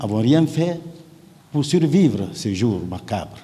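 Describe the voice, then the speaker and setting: A man's somewhat breathy voice with a dark, mellow tone, lively intonation and audible room echo. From Guinea (Kouroussa). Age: 60s. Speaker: witness in a trial, politician and surgeon. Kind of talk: court testimony. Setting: courtroom. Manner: formal.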